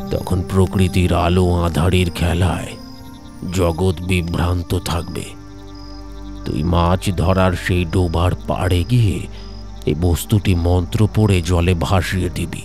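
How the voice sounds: Over clear music in the background, a man uses a put-on character voice that is resonant and booming, at a fairly slow pace.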